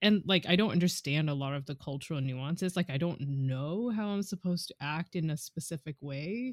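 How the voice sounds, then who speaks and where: On a very clean recording with a silent background, a woman with a normal speaking voice talks at a moderate pace with lively intonation and hardly any pauses. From Canada, British Columbia. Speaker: podcast co-host. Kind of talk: casual chat.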